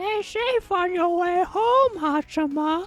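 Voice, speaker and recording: A female-sounding, put-on character voice speaks at an extremely high pitch and a fairly slow pace. Music plays in the background. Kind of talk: put-on old lady voice. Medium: virtual streamer. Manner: warm, friendly.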